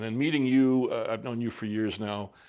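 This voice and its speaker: A man with an unremarkable speaking voice talks at medium pitch and a moderate pace. His pitch varies in an ordinary way over a quiet background. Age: 60s. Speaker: entrepreneur. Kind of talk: casual chat.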